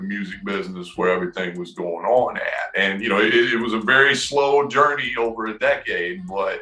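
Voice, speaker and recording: Amid noticeable background noise, a man with a Southern US accent talks at a fairly quick pace, with hardly any pauses and ordinary pitch variation. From US South, Knoxville, Tennessee. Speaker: rapper and music producer. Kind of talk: interview. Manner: hesitant, many fillers.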